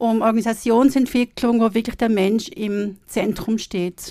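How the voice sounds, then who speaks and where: A plain, everyday voice from a woman, fairly high in pitch and fairly slow in pace. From Switzerland. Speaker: counsellor and coach, former cellist. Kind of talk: interview. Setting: studio.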